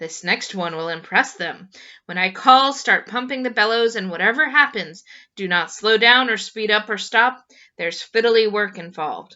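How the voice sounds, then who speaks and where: Using a put-on character voice, a woman speaks at a fairly high pitch and a moderate pace. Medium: read story. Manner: brisk, practical.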